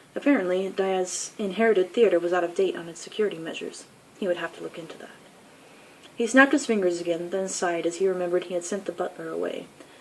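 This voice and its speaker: A woman's medium-pitched voice at a very fast pace, with ordinary pitch variation, big swings in loudness and noticeable background noise. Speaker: author. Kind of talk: fiction reading.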